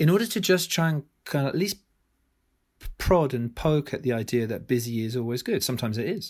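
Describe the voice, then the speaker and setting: In a British accent, a man talks at medium pitch and a moderate pace on a very clean recording with a silent background. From UK. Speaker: author and business school academic. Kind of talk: podcast interview.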